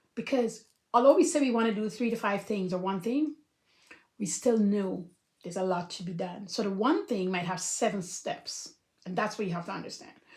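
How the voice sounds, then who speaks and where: In an animated tone, a woman speaks fairly quickly at a medium pitch with ordinary pitch variation and a somewhat breathy quality. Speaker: life coach. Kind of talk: casual talk to camera. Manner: fast.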